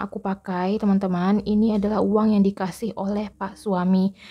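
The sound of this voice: A woman speaks softly at a moderate pace. Her intonation stays fairly even.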